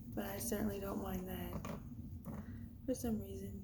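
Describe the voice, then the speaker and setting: A woman is speaking. Room echo can be heard. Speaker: tarot card reader. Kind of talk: tarot reading vlog. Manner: slow; calm.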